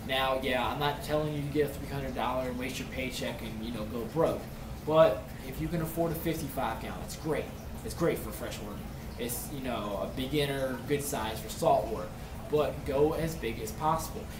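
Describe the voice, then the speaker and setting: A man keeps a moderate pace as noticeable background noise carries on around him. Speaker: aquarium hobbyist YouTuber. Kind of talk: tutorial. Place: home room. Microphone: webcam.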